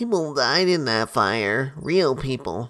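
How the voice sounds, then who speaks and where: A man puts on a character voice at a medium pitch, with very wide pitch swings. He talks at a fairly slow pace. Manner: serious, acting.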